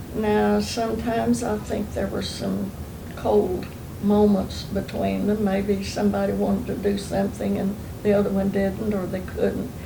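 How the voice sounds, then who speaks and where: With an Oklahoma accent, a woman speaks at a moderate pace in a very deep, low pitch, her voice making very wide pitch swings amid audible room echo. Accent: Southern US (Oklahoma) rural. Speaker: oral history interviewee. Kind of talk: oral history interview, reminiscing. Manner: relaxed, conversational with fillers.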